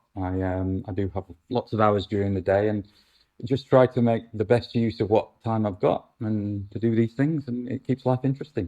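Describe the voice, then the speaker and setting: A man with a British accent, fairly low in pitch, dark and mellow in tone with ordinary pitch variation, dry and close with no echo against a quiet background. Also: moderate pace. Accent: UK. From UK. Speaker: actor and councillor, former police officer. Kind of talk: interview. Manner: halting, many fillers.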